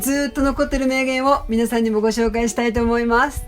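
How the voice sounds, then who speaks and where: Over music in the background, a woman speaks fairly quickly at a fairly high pitch with fairly even intonation. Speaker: painter / artist. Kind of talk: motivational quote narration with commentary.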